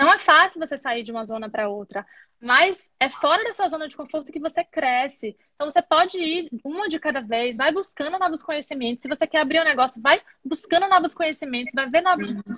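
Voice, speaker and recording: A woman speaks in a raised, projected voice with a high pitch, a bright, sharp tone and lively intonation. Her pace is fairly quick, her loudness swings widely, and the sound is dry and close with no echo. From Bahia, Brazil. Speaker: entrepreneur, live interview host. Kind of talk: casual live-stream interview. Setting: video call live stream.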